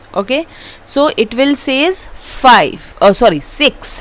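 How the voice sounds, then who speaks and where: A woman speaks with an Indian accent at a high pitch. Her intonation is lively, and her pace is very slow. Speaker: programming teacher. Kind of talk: tutorial.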